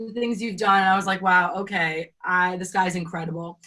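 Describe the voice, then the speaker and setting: With an American accent, a woman speaks at a fairly quick pace in an unremarkable speaking voice of medium pitch with ordinary pitch variation. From US East Coast. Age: young. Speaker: singer-songwriter. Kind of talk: interview answer. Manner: casual, chatty.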